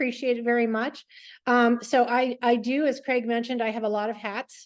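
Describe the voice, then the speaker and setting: This woman's voice is high in pitch. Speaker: public policy expert and presenter. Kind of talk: online presentation. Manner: fast.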